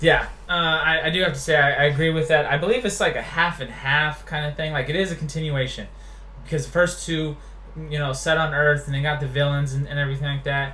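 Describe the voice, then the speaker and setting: At a very fast pace and fairly high pitch, a man talks with fairly even intonation amid audible room echo. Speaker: web show host, Iraq war veteran. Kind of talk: casual chat.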